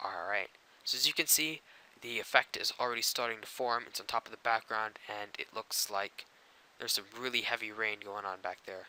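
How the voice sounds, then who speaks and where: A man's bright, sharp tone sits at medium pitch, moving at a fairly quick pace with fairly even intonation. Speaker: graphic design tutorial maker. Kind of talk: software tutorial narration. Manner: casual, informal.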